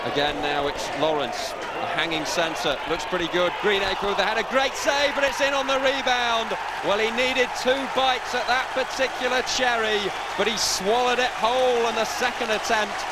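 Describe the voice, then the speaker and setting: An enthusiastic man at a moderate pace, his pitch extremely high, the sound dry with no echo and a crowd audible behind him. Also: lively intonation. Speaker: football commentator. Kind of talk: live football commentary. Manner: enthusiastic and celebratory, with partisan praise for the home side.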